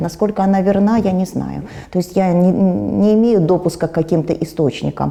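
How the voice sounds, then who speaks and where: Over noticeable background noise, a woman talks at medium pitch and a moderate pace with ordinary pitch variation. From former USSR. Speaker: war refugee, pensioner. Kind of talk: interview answer. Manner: calm, stoic.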